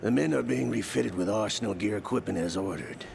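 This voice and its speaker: A man puts on a character voice at a very deep, low pitch and very fast pace. His loudness stays very even against clear background noise. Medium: video game. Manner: cryptic.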